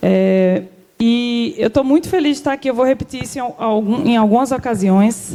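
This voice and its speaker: Speaking at a moderate pace with an Alagoas accent, a woman shows ordinary pitch variation. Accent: Alagoas accent, noticeable. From Alagoas, Brazilian Northeast. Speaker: government cultural policy official. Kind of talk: panel talk.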